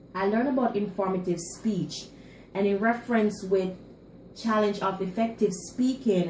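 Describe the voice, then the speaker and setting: With fairly even intonation and very even loudness, a woman talks at a moderate pace and medium pitch, amid noticeable background noise and audible room echo. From Jamaica. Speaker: student. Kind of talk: class presentation speech. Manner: halting, with fillers and repetitions.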